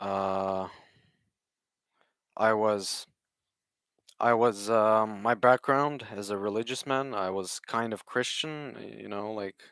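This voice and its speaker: In a very clean recording with a silent background, a man speaks very slowly in a fairly low voice, with fairly even intonation, big swings in loudness and long, frequent pauses. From Ukraine (Odessa), then western Canada from age nine. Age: 20s. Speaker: vlogger. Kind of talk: personal testimony livestream. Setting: live stream. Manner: slow, halting with many fillers.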